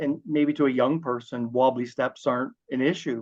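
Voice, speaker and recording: This man speaks at a moderate pace with a medium pitch. His intonation is monotone and flat. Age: 60s. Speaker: home inspector. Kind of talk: interview. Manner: halting, many fillers and repeats.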